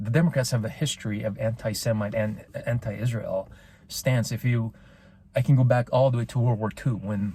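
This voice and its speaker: At a moderate pace, a man talks at medium pitch with a dark, mellow, somewhat breathy tone and ordinary pitch variation. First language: not English. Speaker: political commentary podcaster. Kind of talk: opinion monologue. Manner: halting, repeats words; passionate.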